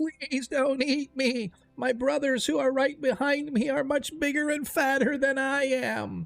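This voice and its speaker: In a put-on character voice pitched high, the speaker goes at a fairly slow pace with hardly any pauses. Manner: pleading, timid.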